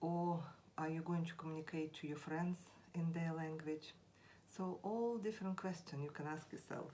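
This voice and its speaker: A woman with a Russian accent speaks at a moderate pace in a fairly low pitch, her tone dark and mellow and her intonation fairly even. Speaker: language teacher. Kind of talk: tutorial. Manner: halting, with frequent fillers.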